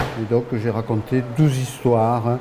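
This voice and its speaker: This man speaks at a very slow pace, his pitch medium. His intonation stays monotone and flat. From France, Ariège. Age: 70s. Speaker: local author and poet. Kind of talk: interview. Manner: hesitant, many fillers.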